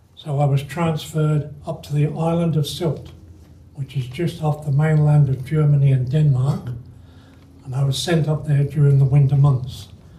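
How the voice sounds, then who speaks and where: A man's somewhat breathy voice with a dark, mellow tone, fairly high pitch, fairly even intonation and a moderate pace. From England. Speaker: retired club member giving life story talk. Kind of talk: personal life story talk. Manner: halting, with self-corrections.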